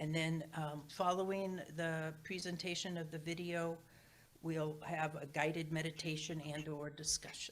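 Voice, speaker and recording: Delivered at a fairly slow pace, the speech stays in a flat monotone. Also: woman, very deep, low pitch for a woman. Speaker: church board trustee giving announcements. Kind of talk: church announcements. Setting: church sanctuary, also streamed on Zoom. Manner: loud.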